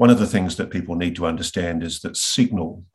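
A man's very deep, low voice with an Australian accent. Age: 50s. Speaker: investigative journalist. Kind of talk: interview conversation.

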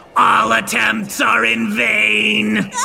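Someone shouts in a low-pitched, put-on character voice. Background noise is clearly audible. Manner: eerie, ominous.

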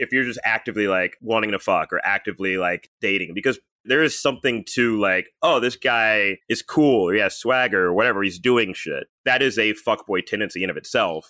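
A normal speaking voice from a man with an American accent, medium in pitch, fairly quick in pace, with ordinary pitch variation. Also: hardly any pauses. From US South, Birmingham, Alabama. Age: 30s. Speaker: comedian. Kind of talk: casual chat.

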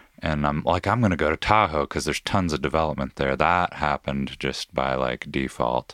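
With an American accent, a man speaks at a fairly quick pace with hardly any pauses in a very deep, low voice with vocal fry and very even loudness, on a very clean recording with a silent background and a dry, close sound with no echo. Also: ordinary pitch variation. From Washington state, US Pacific Northwest. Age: 30s. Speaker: climber and climbing coach. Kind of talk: casual chat. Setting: studio.

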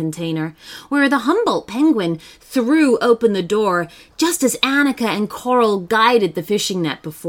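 The text is read aloud plainly. Its intonation moves in a lively way.

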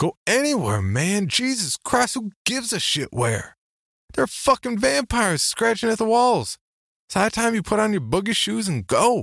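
A man uses a put-on character voice, high in pitch with vocal fry, big pitch swings and a fairly bright tone. The pace is moderate, and the recording is very clean with a silent background.

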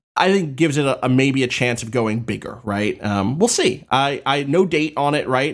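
An unremarkable speaking voice, this man has a medium pitch, an American accent and ordinary pitch variation. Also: moderate pace. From New Jersey, Atlantic City. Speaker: games journalist. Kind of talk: casual chat.

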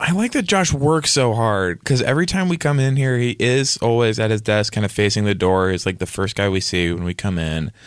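A man with an unremarkable speaking voice talks fairly quickly at medium pitch. His intonation is lively, and he hardly pauses. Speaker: comedy podcast host. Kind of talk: comedic improv chat.

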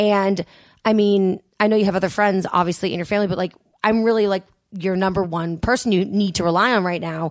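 At a fairly quick pace, a woman with a normal speaking voice talks at a medium pitch with fairly even intonation. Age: 30s. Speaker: radio host. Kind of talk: casual chat.

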